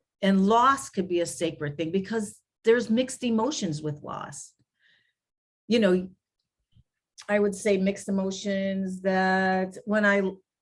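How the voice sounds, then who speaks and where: Speech comes at a fairly slow pace, broken by long, frequent pauses, with ordinary pitch variation. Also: woman, medium pitch for a woman. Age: 60s. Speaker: grief recovery specialist. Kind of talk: interview conversation. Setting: podcast.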